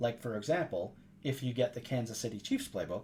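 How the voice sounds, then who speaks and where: A man talks at a fairly quick pace and a medium pitch. His voice is somewhat breathy, with a dark, mellow tone. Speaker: video game tips youtuber. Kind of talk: gameplay tutorial. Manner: fast.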